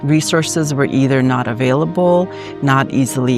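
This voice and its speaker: Music plays in the background as a woman with a very deep, low voice speaks at a moderate pace with lively intonation. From Armenia. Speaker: licensed psychologist. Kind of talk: casual talk to camera.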